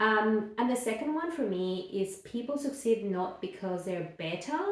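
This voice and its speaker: A woman with a fairly high pitch and lively intonation is heard with audible room echo. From Mexico (Guadalajara). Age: 40s. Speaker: children's book author and illustrator. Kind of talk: casual vlog reflection. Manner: casual with many fillers.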